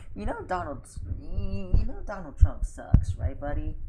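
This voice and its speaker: The room's echo is audible. It's a woman who is talking. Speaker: video game streamer. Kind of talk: casual live stream commentary. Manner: loud; animated. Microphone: microphone picks up voice poorly on streams.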